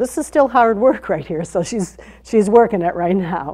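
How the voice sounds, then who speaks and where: A woman's voice has a dark, mellow tone. She speaks at a moderate pace against a quiet background. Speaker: fitness instructor. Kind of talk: tutorial. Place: studio. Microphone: lapel.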